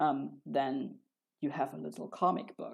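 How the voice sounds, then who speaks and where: A woman takes a fairly slow pace as she talks. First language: Spanish. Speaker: comic artist streamer. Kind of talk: live stream Q&A. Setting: live stream. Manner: casual, halting with fillers.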